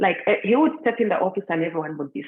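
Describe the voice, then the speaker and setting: The speaker talks with a Ugandan accent and very wide pitch swings. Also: woman. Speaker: meditation guide. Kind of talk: personal story in live group session. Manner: conversational, with many fillers.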